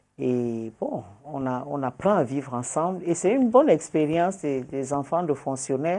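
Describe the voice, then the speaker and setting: In a Nigerian accent, a woman speaks with a very deep, low pitch and a dark, mellow tone. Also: ordinary pitch variation, moderate pace. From Cameroon, south (Ambam). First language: Wodi (speaking French). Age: 60s. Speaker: journalist and politician. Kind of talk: interview.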